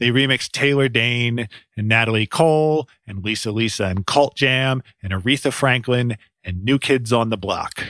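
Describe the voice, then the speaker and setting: A man with an ordinary speaking voice talks at a moderate pace, his medium pitch varying in an ordinary way. The recording is very clean and dry, with a silent background, close sound and no echo. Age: 40s. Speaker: music podcast host. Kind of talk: scripted narration.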